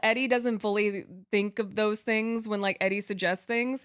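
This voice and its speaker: A woman talks in a normal speaking voice at a moderate pace, pitched fairly high. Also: very clean recording, silent background. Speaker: game streamer. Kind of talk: casual chat. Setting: live stream.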